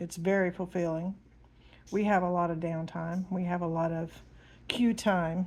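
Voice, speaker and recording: A woman speaks in a fairly low voice. Her intonation is monotone and flat. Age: 50s. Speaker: diamond painting hobbyist and 911 dispatcher. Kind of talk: casual chat. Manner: hesitant, many ums.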